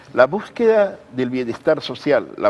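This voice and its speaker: Very wide pitch swings run through the speech. The voice is a man's. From Peru. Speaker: writer and academic. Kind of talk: TV interview answer. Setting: studio.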